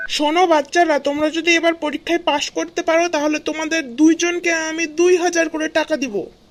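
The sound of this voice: A cartoonish character voice carries the clip. It sits high in pitch and moves at a moderate speed.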